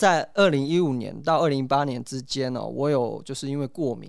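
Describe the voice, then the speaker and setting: A man with a normal speaking voice, fairly high in pitch, at a fairly quick pace with ordinary pitch variation, in a very clean recording with a silent background. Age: 30s. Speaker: potter and hepatitis C patient. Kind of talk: interview testimony.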